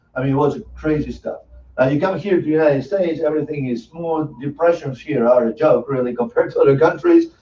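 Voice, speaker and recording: Here a man speaks with an Argentine accent. He goes at a very fast pace. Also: fairly high pitch for a man, ordinary pitch variation. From Argentina. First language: Spanish. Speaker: financial services presenter, former engineer. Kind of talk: sales presentation.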